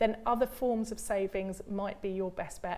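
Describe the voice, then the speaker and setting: A woman speaks with a British accent. Her tone is dark and mellow. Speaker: pension expert. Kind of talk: live Q&A advice. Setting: studio.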